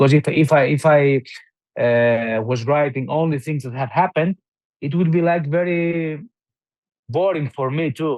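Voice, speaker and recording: A man speaks with a Greek accent at a fairly high pitch. His pace is moderate, broken by long, frequent pauses. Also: ordinary pitch variation. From southern Albania, Greek-speaking minority (Himara). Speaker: novelist. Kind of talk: interview. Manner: halting, many fillers and restarts.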